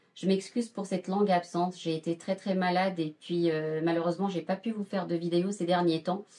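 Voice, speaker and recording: The speech moves at a moderate pace with monotone, flat intonation. Noticeable background noise sits behind it. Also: woman. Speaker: cooking youtuber. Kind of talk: cooking tutorial. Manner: halting, stammering; hesitant with many fillers.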